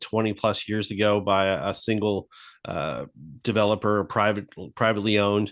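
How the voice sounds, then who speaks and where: Over a quiet background, a man with fairly low pitch and an unremarkable speaking voice talks at a moderate pace. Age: 50s. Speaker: golf coach and golf media personality. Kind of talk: casual chat.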